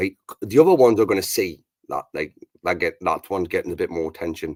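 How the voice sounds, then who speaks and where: With a British accent, a man talks at a very fast pace. His fairly low voice has lively intonation. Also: very clean recording, silent background. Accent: British English, regional. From Britain. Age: 40s. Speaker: livestream host. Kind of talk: casual chat.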